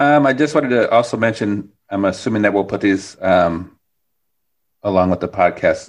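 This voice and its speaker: An unremarkable speaking voice from a man with an American accent, fairly low in pitch with ordinary variation, at a moderate pace over a quiet background. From US Midwest. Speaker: podcast host. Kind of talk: casual chat.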